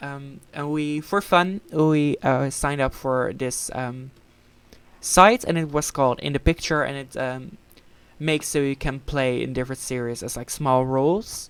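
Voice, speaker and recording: Speaking in a Dutch accent at a fairly slow pace, a woman has a very deep, low pitch and ordinary pitch variation. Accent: Dutch accent in English, described as bad. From Netherlands. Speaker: gaming channel member. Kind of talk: casual chat. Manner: halting, many fillers.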